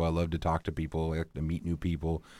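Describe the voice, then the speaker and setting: A man's very deep, low voice with an American accent, delivered at a very fast pace in a very clean recording with a silent background. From Pacific Northwest, southwest Washington. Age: 30s. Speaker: musician. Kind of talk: casual interview.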